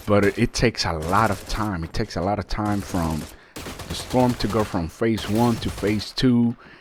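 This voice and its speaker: A man speaks with a non-native accent at a fairly low pitch. His pace is fairly slow and his pitch varies in an ordinary way. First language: not English. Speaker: gaming YouTuber. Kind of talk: game review. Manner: casual, with fillers.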